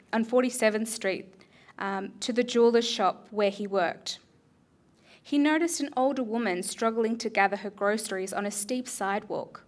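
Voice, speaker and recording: A woman with an unremarkable speaking voice talks at a moderate pace and a fairly high pitch, with ordinary pitch variation. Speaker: slam poet. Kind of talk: short story reading to a live audience.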